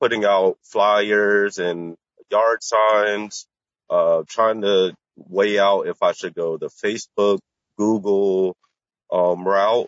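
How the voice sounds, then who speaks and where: A man's plain, everyday voice, fairly low in pitch, with ordinary pitch variation and a fairly slow pace. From Washington, D.C. area. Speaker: caller starting a plumbing business. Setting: call with Bluetooth earpiece.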